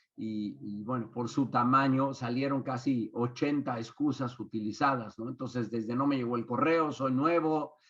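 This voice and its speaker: A man's medium-pitched voice, a plain, everyday voice, at a moderate pace with fairly even intonation. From Mexico. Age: 60s. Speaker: business consultant and speaker. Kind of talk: webinar talk.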